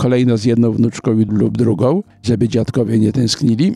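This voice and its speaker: Here a man speaks at a moderate pace and a medium pitch. His intonation is fairly even. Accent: Polish. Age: 70s. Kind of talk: interview. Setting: outdoor business forum.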